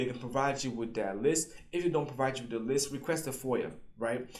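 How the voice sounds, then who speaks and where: An energetic tone comes through from a man at medium pitch with ordinary pitch variation. The recording has audible room echo. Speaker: government contracting coach, YouTuber. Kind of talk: tutorial. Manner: fast; casual, energetic.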